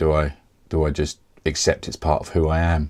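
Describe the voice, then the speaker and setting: A man's very deep, low voice with vocal fry and a southeast English accent, flat monotone delivery at a fairly quick pace, on a very clean recording with a silent background. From Kent, England. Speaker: software developer. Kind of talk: casual talk to camera.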